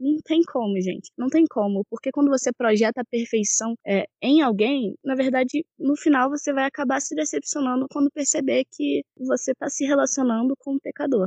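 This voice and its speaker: A woman with a high pitch and a dark, mellow tone talks with hardly any pauses in a dry, close sound with no echo. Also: ordinary pitch variation, moderate pace. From Teresópolis, Rio de Janeiro state, Brazil. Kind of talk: casual faith discussion.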